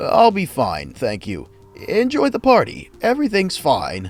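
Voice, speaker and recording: A man's put-on character voice, high in pitch at a moderate pace, with faint music in the background. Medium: read story. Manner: strained, anxious.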